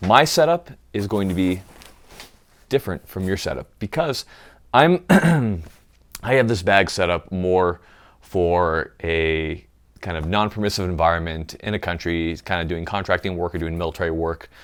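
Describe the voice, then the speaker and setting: A man's very deep, low voice at a moderate pace with ordinary pitch variation, on a very clean recording with a silent background. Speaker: gear tutorial youtuber, contractor/military background. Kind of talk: tutorial. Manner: casual, conversational.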